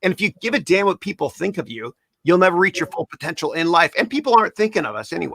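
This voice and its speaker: A man with a Canadian accent speaks in a raised, projected voice at a very fast pace, his animated, bright, sharp tone high in pitch with very wide pitch swings. The sound is dry and close, with no echo. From Canada. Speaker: podcast host. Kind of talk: interview chat.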